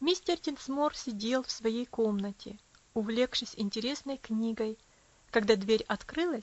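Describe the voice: Someone reads a text aloud plainly, and the pitch rises and falls in an ordinary way.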